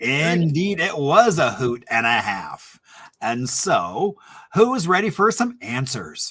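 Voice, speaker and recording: A man with an Indiana accent speaks at a very slow pace in a high pitch with very wide pitch swings. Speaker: historian hosting a trivia happy hour. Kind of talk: casual quiz hosting. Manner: animated.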